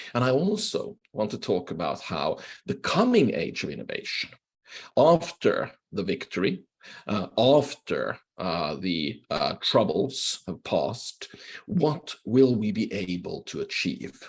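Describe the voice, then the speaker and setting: With a Swedish accent, a man talks at a fairly slow pace. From Finland, Swedish-speaking. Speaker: professor, keynote speaker. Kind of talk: lecture. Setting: video call.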